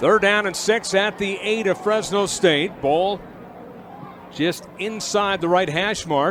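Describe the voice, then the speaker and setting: A man's raised, projected, high-pitched voice over noticeable background noise. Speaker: radio sports play-by-play announcer. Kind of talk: live radio sports play-by-play commentary.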